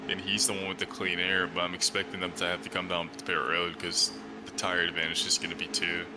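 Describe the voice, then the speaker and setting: A man's very deep, low voice at a very fast pace, with very wide pitch swings and noticeable background noise. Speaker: sim racing commentator. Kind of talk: live commentary. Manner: casual.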